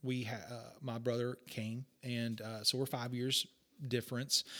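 A man with a West Texas accent, medium pitch, bright, sharp tone, monotone, flat intonation and a fairly slow pace. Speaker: pastor. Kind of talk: casual chat.

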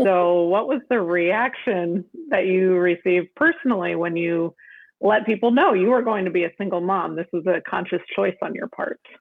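A woman speaks in an ordinary speaking voice at a medium pitch. Her pitch varies in an ordinary way, and her pace is moderate. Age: 30s. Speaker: interviewer, friend of storyteller. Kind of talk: interview questions. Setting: call.

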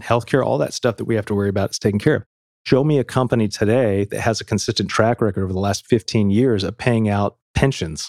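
Speaking very fast, a man with an American accent uses a fairly low pitch and ordinary pitch variation. The recording is very clean and dry, close with no echo, over a silent background. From US military family. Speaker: podcast host. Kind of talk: casual chat. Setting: studio.

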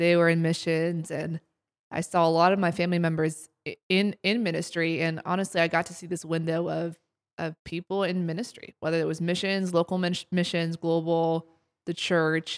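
A woman speaks at a moderate pace in a fairly low, flat monotone, recorded dry and close with no echo. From Ohio, US (Columbus). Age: 20s. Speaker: sports ministry internship coordinator. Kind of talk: casual faith interview chat.

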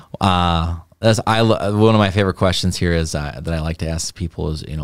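This man's pitch is very deep and low. He uses ordinary pitch variation. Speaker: company video host. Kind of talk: live company podcast interview. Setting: live stream. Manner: casual, filler-heavy.

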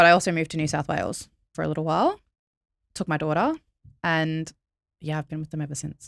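A woman with an Australian accent speaks at a very fast pace in a very deep, low pitch, her intonation monotone and flat. She leaves long, frequent pauses, and the recording is very clean with a silent background. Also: dry, close sound with no echo.

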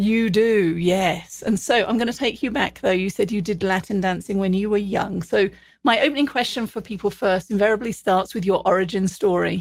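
In a very clean recording with a silent background, a woman with a British accent speaks at a medium pitch with ordinary pitch variation. She keeps a moderate pace with hardly any pauses. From Britain. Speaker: podcast host and leadership consultant. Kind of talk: interview conversation.

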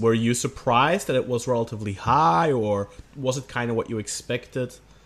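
A man at a medium pitch and fairly quick pace, with noticeable background noise. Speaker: football podcast host. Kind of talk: casual chat.

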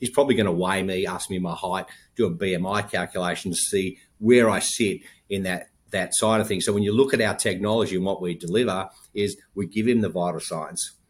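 A man with an American accent and fairly low pitch talks at a fairly quick pace with fairly even intonation, in a very clean recording with a silent background. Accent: noticeable foreign accent to US host. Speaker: health tech company founder. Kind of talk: interview.

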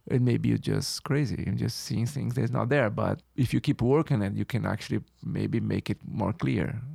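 A man with a Brazilian accent speaks at a moderate pace with hardly any pauses, in a very clean recording with a silent background. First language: Portuguese. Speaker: photographer. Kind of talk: interview. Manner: halting.

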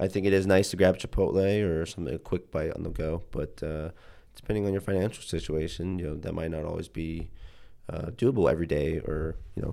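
Speaking at a fairly quick pace with an Ohio accent, a man has a very deep, low pitch, a dark, mellow tone and ordinary pitch variation. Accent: Midwestern American (Ohio). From Ohio, Youngstown. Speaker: university student. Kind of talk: casual interview.

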